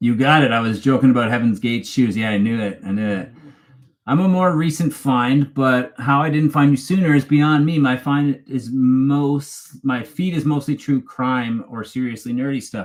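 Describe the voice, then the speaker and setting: Speaking with a slight Canadian accent, a man talks at a medium pitch. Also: ordinary pitch variation, moderate pace. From Canada, Toronto area. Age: 40s. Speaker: true crime YouTuber. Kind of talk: live stream chat. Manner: casual, halting with fillers.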